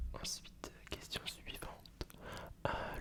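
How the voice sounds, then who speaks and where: Very slow whispered speech from a man, with noticeable background noise. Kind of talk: ASMR roleplay. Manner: soft-spoken, close to the mic.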